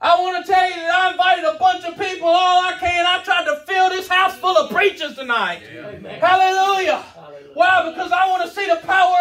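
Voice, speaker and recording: Shouting in a raised, projected voice at a moderate pace, with big swings in loudness, fairly even intonation and light background noise. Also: man. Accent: American. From US South. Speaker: preacher. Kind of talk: revival sermon, hellfire exhortation with congregation call-and-response. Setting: church with live congregation. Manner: fiery, escalating shouted warnings punctuated by amens; rhythmic, repetitive cadence hammering short phrases. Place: church. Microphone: camera far.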